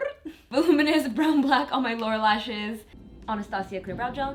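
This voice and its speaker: Pitch varies in an ordinary way as a woman talks fairly quickly. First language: Spanish. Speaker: beauty vlogger. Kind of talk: tutorial. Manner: casual, chatty.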